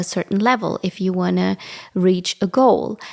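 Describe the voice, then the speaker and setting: With a German accent, a woman talks at a medium pitch and a fairly slow pace in a very clean recording with a silent background and a dry, close sound with no echo. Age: 20s. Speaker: podcast host. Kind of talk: casual solo podcast.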